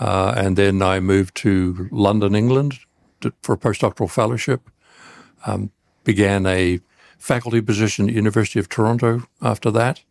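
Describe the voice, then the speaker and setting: A man with a New Zealand accent speaks at a moderate pace in a fairly low voice, his intonation fairly even. The sound is dry and close with no echo, on a very clean recording with a silent background. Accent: New Zealand accent, noticeable to Americans. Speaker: cancer researcher. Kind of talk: podcast interview.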